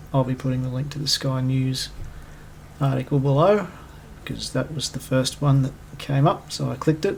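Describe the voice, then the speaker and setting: With an Australian accent, the speaker keeps a moderate pace and fairly even intonation, broken by long, frequent pauses. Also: man, medium pitch for a man. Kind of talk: opinion commentary monologue. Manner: loud; casual, conversational.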